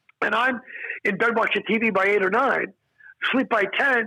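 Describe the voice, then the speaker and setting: Raising and projecting his high voice, a man speaks with an animated tone at a moderate pace. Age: 60s. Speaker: stand-up comedian. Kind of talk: casual interview chat.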